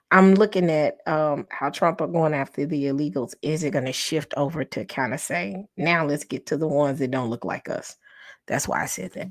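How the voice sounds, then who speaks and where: In a put-on character voice, a woman talks at a moderate pace with a very deep, low pitch and lively intonation, sounding calm yet strained. The recording is very clean with a silent background. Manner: calm, subdued, restrained.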